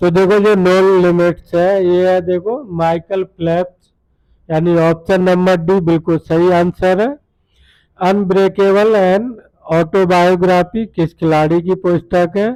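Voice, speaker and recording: Pitched high for a man, this voice has a dark, mellow tone and fairly even intonation, recorded dry and close with no echo. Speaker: quiz tutor. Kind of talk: tutorial. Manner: repetitive filler 'dekho'.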